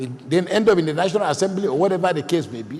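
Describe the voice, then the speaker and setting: A man with a Nigerian accent speaks in an animated tone with ordinary pitch variation. Background noise is noticeable. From northern Nigeria. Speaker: panelist. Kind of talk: panel discussion.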